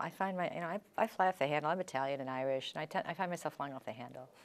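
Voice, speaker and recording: A woman with an American accent talks at a very fast pace. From Chicago. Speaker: author and former attorney; interviewee. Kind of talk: interview. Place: studio. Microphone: lapel.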